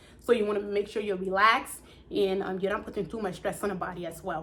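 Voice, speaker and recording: A woman's voice at a medium pitch. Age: 30s. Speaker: vlogger sharing personal health story. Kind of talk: personal storytime vlog. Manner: fast; casual, conversational.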